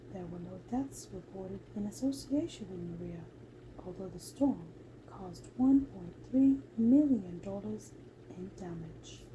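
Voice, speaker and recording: A soft-spoken woman talks at a fairly slow pace with big swings in loudness over noticeable background noise. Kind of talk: ASMR sleep reading.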